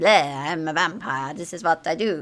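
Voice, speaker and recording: A put-on character voice at a middle pitch. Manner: playful, mock-sinister.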